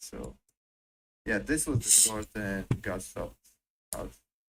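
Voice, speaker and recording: Speaking at a moderate pace, a man talks with a non-native accent. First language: not English. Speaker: novice trader. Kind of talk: casual chat. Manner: halting.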